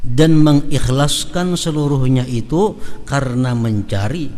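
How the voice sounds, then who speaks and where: With a South Kalimantan accent, a man speaks at a very slow pace amid audible room echo and noticeable background noise. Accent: Banjar-accented Indonesian. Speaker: Islamic preacher. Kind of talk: religious lecture.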